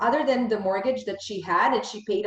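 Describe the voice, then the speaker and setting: Her voice is a normal speaking voice, fairly high-pitched, with lively intonation and a Canadian accent. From Bosnia, raised in Canada. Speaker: podcast host, financial education founder. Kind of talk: interview conversation.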